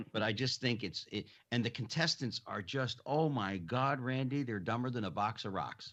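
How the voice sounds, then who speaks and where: A man talks in an ordinary speaking voice at medium pitch, with ordinary pitch variation and a moderate pace. He hardly pauses, and the background is quiet. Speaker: podcast host, interviewer. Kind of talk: radio-style talk show hosting, conversational.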